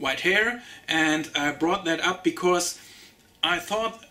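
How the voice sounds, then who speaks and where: With a German accent, a man talks at a very slow pace in a high pitch. His tone is bright and sharp, with ordinary pitch variation. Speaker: TV show reviewer. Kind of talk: casual review monologue. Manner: halting, many fillers.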